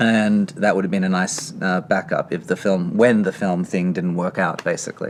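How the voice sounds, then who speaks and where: A man's very deep, low voice with a slight Australian accent, a moderate pace, hardly any pauses and ordinary pitch variation. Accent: slight Australian lilt. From Australia, Sydney. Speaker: screenwriter. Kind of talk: interview. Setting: library.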